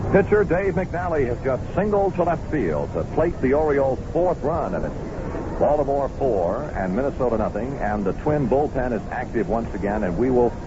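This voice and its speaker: With noticeable background noise around him, a man speaks at a moderate pace and a medium pitch, his pitch swinging very widely. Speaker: radio play-by-play announcer. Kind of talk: live baseball play-by-play commentary. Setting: stadium broadcast booth. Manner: brisk, rising urgency calling a runner home on a base hit; measured, descriptive storyteller filling gaps with stats.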